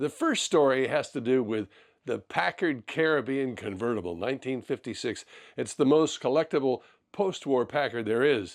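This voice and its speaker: A plain, everyday voice: a man at medium pitch and moderate pace, with ordinary pitch variation, on a very clean recording with a silent background. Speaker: car collecting show host. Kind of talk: podcast introduction.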